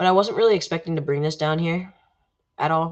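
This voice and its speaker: With an ordinary speaking voice, a woman talks at a fairly quick pace and a fairly low pitch. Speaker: gaming livestreamer. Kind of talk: live gameplay commentary. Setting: livestream.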